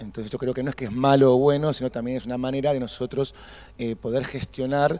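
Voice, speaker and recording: A man with a dark, mellow tone speaks very fast in a flat monotone. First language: Spanish. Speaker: theatre director. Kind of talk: post-show discussion.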